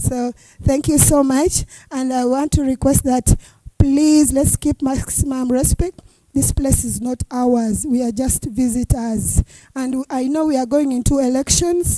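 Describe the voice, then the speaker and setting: In a dry, close recording with no echo, a woman speaks at a fairly slow pace, her high voice dark and mellow with fairly even intonation. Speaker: youth parliament coordinator. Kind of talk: event speech.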